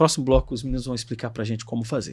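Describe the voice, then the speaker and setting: A man speaks with a Brazilian accent in a very clean recording with a silent background. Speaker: podcast host. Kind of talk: podcast interview. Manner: casual, conversational.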